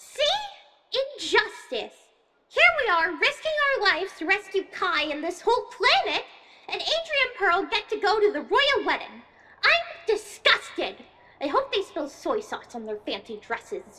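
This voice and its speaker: A female-sounding put-on character voice is heard. It sits at an extremely high pitch. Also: moderate pace. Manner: bubbly, indignant, dramatic.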